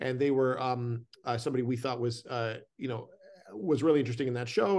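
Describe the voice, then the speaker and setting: A man's medium-pitched voice in a Canadian accent, fairly quick and fairly even in intonation, against a quiet background. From Canada. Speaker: film director. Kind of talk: casual interview. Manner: halting, many fillers.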